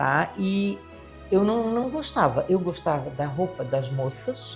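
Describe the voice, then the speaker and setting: With music playing behind her, a woman talks very slowly. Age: 70s. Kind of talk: interview answer.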